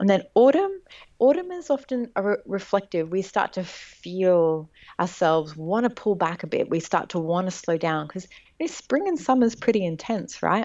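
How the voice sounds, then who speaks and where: At a moderate pace, a woman with a medium pitch speaks with lively intonation in an unremarkable speaking voice. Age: 30s. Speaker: intuitive mentor and writer. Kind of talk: interview.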